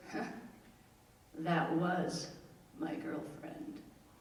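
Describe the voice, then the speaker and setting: A woman's voice moves through very wide pitch swings. Noticeable background noise runs under it. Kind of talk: live storytelling performance.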